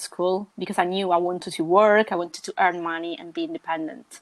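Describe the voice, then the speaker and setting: A woman's fairly low voice moves at a moderate pace. She keeps a monotone, flat intonation. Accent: Italian. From Sicily, southern Italy. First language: Italian. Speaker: podcast guest. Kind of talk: casual chat. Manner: halting.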